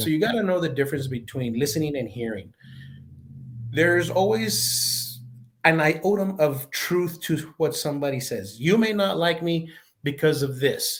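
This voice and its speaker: A man with an American accent speaks at a moderate pace. His fairly high, somewhat breathy voice has lively intonation. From El Paso, Texas. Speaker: retired law enforcement chief and leadership expert. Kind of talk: interview answer. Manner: conversational.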